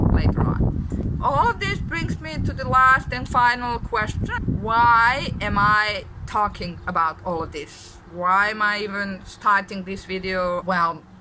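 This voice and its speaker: Against noticeable background noise and audible room echo, the speaker talks at a fairly slow pace in a Serbian accent. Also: woman. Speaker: deaf vlogger. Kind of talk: vlog monologue. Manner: halting, many fillers.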